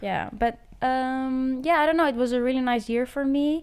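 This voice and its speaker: Speaking with a Greek accent, a woman uses a high pitch and ordinary pitch variation on a very clean recording with a silent background. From Greece. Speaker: art student. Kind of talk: casual chat.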